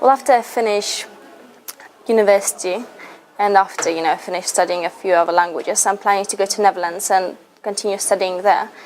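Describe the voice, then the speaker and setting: Fairly quick pace and fairly even intonation amid noticeable background noise. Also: woman. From Lithuania. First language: Russian. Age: 20s. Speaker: university student, language ambassador. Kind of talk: interview answers.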